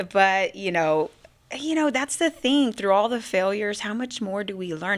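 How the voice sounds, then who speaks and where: Here a woman speaks with an American accent at a fairly quick pace. Her pitch is medium. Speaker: business owner and military veteran. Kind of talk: podcast interview. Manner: fast.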